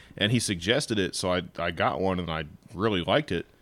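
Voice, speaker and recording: This man's pitch is very deep and low, with ordinary pitch variation. The recording is very clean and the background silent. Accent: American. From northern US. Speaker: teacher. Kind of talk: casual chat. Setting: studio.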